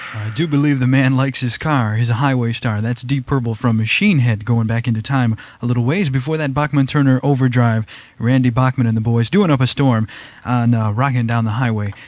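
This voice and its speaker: A man speaks with an American accent at a fairly quick pace. There is noticeable background noise. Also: medium pitch for a man, ordinary pitch variation. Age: 20s. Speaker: radio DJ. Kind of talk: radio show break. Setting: radio studio.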